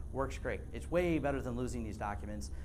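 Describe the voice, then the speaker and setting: A man talks at a very fast pace, his voice carrying audible room echo. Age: 40s. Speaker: IT consultant presenter. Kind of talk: workshop presentation.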